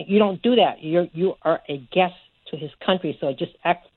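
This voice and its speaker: A woman speaks at a moderate pace in an ordinary speaking voice. Her pitch sits fairly low and varies in an ordinary way. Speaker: caller. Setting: phone call.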